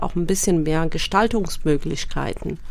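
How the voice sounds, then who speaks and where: A woman's voice with audible room echo. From Eritrea. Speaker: member of parliament. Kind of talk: radio interview.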